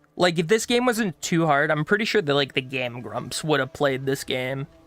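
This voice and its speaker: Here a man talks at a moderate pace with an American accent. His pitch is fairly high and his intonation lively. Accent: switches between two accents, one southern US. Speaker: gaming streamer. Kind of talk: let's play commentary. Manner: casual, rambling with many fillers.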